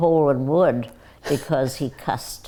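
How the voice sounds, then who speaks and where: This woman's voice sits very deep and low, with a dark, mellow tone. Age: 90s. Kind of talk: casual chat.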